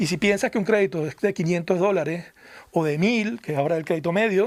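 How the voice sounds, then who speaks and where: A man talks at a very fast pace in a Venezuelan accent. His pitch is high, with ordinary pitch variation. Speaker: foundation research director. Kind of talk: radio interview. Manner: halting, repeats words.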